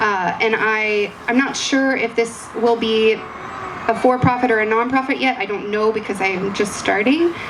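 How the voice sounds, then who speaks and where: Against noticeable background noise, a woman talks with a fairly high pitch. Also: ordinary pitch variation, moderate pace, hardly any pauses. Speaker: project presenter. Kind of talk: pitch presentation.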